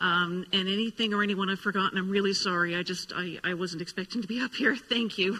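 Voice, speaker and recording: Fairly quick and fairly even in intonation, a woman's speech comes through noticeable background noise. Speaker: novelist. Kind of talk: acceptance speech. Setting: stage with audience. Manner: halting.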